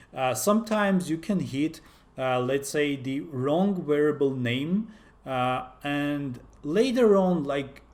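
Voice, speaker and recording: Fairly slowly, a man with a fairly high voice speaks with lively intonation. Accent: non-native. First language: not English. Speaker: software developer, tech YouTuber. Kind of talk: tutorial. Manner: halting, many fillers.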